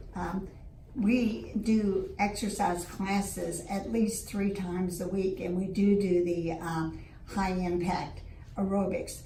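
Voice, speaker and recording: A woman speaks at a very slow pace, her pitch medium and her intonation fairly even. The room echo is audible, and there is noticeable background noise. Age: 70s. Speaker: retiree interviewee. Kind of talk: interview.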